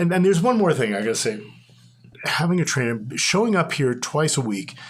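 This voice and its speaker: This man's voice is fairly high and somewhat breathy, with very wide pitch swings. He speaks at a fairly quick pace. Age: 70s. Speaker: gym member. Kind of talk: casual chat.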